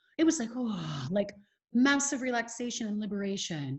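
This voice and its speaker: Somewhat breathy and fairly high in pitch, a woman with an American accent speaks at a moderate pace. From California, USA. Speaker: life coach. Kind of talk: podcast interview answer.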